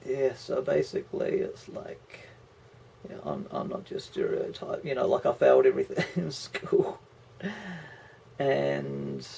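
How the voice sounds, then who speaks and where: A man with a New Zealand accent talks at a fairly slow pace, with long, frequent pauses. His loudness swings widely over noticeable background noise. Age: 30s. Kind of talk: casual talk to camera.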